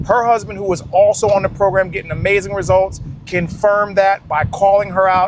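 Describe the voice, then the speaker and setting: Noticeable background noise under a moderate pace of speech. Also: man. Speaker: fitness coach. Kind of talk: casual vlog talk to camera. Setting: outdoors in extreme heat.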